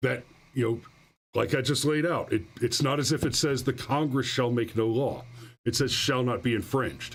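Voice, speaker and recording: A man with a normal speaking voice talks at a moderate pace in a medium pitch, his loudness very even throughout. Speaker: livestream host commenting on gun news. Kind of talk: live stream commentary reading chat and articles. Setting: live stream with chat. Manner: sarcastic, mocking.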